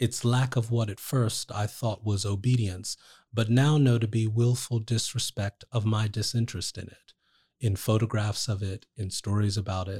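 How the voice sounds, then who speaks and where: A man's fairly low-pitched, somewhat breathy voice with a dark, mellow tone, fairly even intonation and a New Jersey accent. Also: moderate pace. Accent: American (New Jersey). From New Jersey, US. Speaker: poet. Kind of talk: poetry reading aloud; casual interview conversation.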